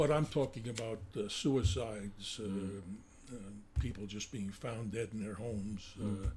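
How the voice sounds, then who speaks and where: A man with an American accent speaks at a moderate pace, his voice somewhat breathy. His pitch is fairly low, with ordinary variation. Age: 80s. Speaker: retired police detective. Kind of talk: casual interview, testimony.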